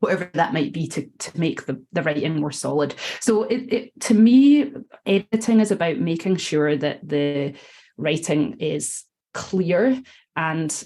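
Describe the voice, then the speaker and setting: A woman speaks with a Scottish accent in a fairly low pitch. Her pitch swings very widely. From Scotland. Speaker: copywriter and editor. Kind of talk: podcast interview. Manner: conversational with many filler ums.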